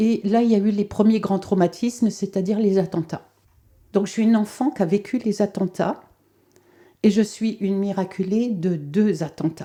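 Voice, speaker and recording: A woman speaks at a medium pitch and a moderate pace, with fairly even intonation. Her tone is dark and mellow, and her loudness stays very even. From France (left Algeria at age two). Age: 70s. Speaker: holistic therapist. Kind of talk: testimony. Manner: hesitant, many 'euh' fillers.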